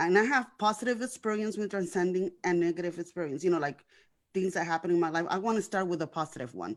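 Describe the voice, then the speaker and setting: Very fast and fairly low-pitched, a woman speaks with ordinary pitch variation in a very clean recording with a silent background. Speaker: guest sharing life story. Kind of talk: testimony. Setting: internet radio show. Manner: words sometimes run together; repetitive, halting.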